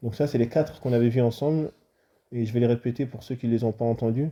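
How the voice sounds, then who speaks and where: Speaking at a fairly quick pace, a man with a medium pitch and a dark, mellow tone sounds somewhat breathy, his intonation fairly even. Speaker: Islamic religious teacher. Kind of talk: religious lesson.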